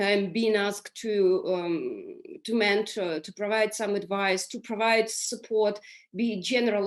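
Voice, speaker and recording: Against a quiet background, a woman speaks at a medium pitch, with fairly even intonation and a fairly slow pace. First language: Russian or Ukrainian. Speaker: business leader on a panel. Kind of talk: panel discussion. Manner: halting, many fillers and repetitions.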